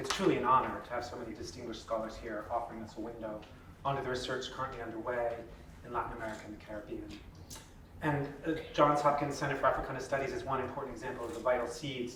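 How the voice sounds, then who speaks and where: A man's medium-pitched voice at a very fast pace, fairly even in intonation but with big swings in loudness, plus audible room echo and noticeable background noise. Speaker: university dean's office representative. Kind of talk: formal address. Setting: luncheon with audience. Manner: formal.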